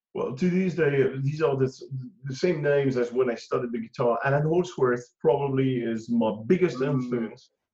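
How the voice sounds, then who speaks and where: This man has a French accent and a dark, mellow tone at medium pitch. His voice is somewhat breathy, moving at a moderate pace with ordinary pitch variation. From France. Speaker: guitarist. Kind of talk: interview. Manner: halting.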